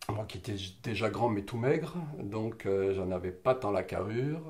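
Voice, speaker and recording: The speaker is a man with a somewhat breathy voice. He takes his words at a fairly slow speed. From southern France, Roussillon (Catalan region). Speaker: interviewee sharing life memories. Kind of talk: personal testimony interview. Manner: hesitant, many fillers and restarts.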